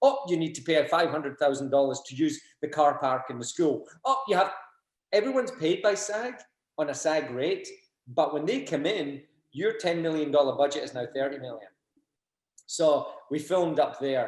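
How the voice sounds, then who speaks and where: With lively intonation and long, frequent pauses, a man speaks at a moderate pace in a fairly high pitch. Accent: Glaswegian. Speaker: BMX industry figure whose life inspired a film. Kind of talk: casual interview chat. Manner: animated.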